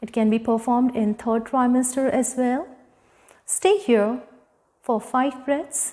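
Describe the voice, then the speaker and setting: Against a quiet background, a soft-spoken woman with an Indian accent talks in a calm, soothing tone at a high pitch with ordinary pitch variation. Her pace is fairly slow, broken by long, frequent pauses. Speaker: yoga instructor. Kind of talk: guided yoga class instruction. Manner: calm, soft, soothing cueing. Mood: calm, guiding. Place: home room. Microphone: lapel.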